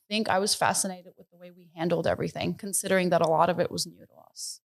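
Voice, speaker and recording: In a New York accent, a woman talks at a fairly low pitch with monotone, flat intonation. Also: big swings in loudness, very clean recording, silent background. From US, New York City (Bronx). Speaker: business founder. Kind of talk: interview.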